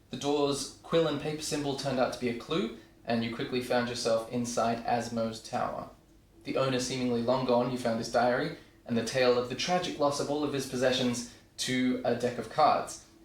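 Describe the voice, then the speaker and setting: Noticeable background noise under a man speaking at a medium pitch. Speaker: podcast host and dungeon master. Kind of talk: storyline recap narration.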